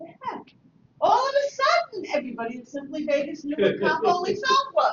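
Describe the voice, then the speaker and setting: Extremely high in pitch, a woman's voice makes very wide pitch swings. She keeps a moderate pace. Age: 70s. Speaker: real estate software trainer. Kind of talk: training session.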